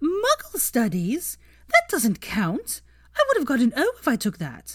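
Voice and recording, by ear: The voice is a put-on character voice with very wide pitch swings. It moves at a fairly slow pace. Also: woman, high pitch for a woman.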